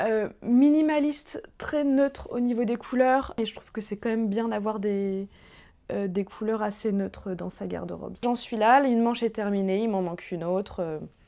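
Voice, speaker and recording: Fairly high-pitched female speech with ordinary variation in pitch. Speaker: sewing vlogger. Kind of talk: casual vlog talk. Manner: loud and fast; hesitant, many filler sounds.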